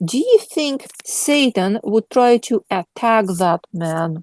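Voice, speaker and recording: In a dry, close sound with no echo and a quiet background, a woman speaks with a non-native accent. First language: not English. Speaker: Bible study leader. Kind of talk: Bible study discussion. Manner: halting.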